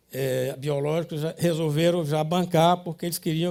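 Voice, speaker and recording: On a very clean recording with a silent background, a man's high voice carries a dark, mellow tone and fairly even intonation. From Ceará, Brazil (Sobral, Camocim). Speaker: industrialist. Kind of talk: life story talk. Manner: halting.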